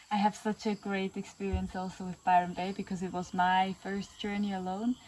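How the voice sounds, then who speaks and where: A woman with a German accent and a medium-pitched voice talks at a fairly quick pace in a monotone, flat intonation. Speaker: podcast host. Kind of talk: casual interview chat. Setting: outdoors in the Amazon jungle.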